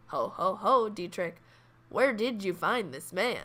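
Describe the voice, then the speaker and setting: Putting on a character voice, a woman of medium pitch speaks at a fairly slow pace with lively intonation and big swings in loudness. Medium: actual play. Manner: hearty, laughing.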